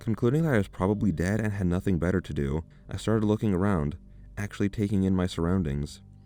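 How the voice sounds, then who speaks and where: Music plays behind a man talking at a very fast pace. His pitch is very deep and low, with ordinary variation. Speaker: story narrator. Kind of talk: horror story narration.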